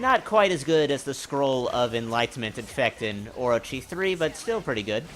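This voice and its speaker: Man's voice with very wide pitch swings at a moderate pace. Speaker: gaming youtuber. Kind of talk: gameplay commentary. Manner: halting.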